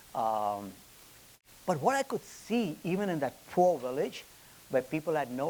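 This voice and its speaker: In an Indian accent, a man speaks at a moderate pace. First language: Hindi. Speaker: business executive. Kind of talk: lecture. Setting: stage with audience. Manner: halting, with repetitions and fillers.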